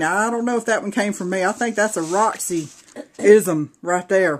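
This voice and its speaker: A woman talks with a strong Southern US accent at a medium pitch. Her pace is moderate, and her pitch varies in an ordinary way. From US South, Georgia. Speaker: craft video creator. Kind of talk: casual show-and-tell video. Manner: animated.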